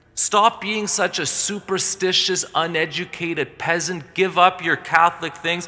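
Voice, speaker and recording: A man speaks in a high pitch with monotone, flat intonation. He leaves hardly any pauses. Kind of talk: sermon. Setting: church. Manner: earnest, forceful preaching; direct, warning the congregation. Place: church.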